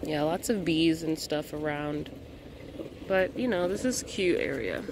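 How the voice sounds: Against clear background noise, a woman speaks at a low pitch with ordinary pitch variation. Her pace is fairly slow.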